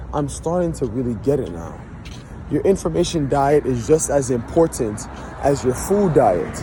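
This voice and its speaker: A man with a fairly high pitch and lively intonation talks at a moderate pace against noticeable background noise. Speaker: vlogger. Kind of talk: personal vlog monologue. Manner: reflective.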